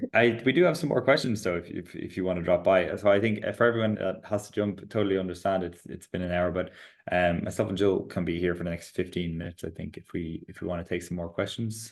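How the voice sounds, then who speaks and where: A man with a strong Irish accent and a very deep, low pitch at a very fast pace with hardly any pauses, ordinary pitch variation and big swings in loudness against a quiet background. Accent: Irish, strong (self-described). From Ireland. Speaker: startup founder and CEO presenting product updates. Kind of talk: product webinar with Q&A.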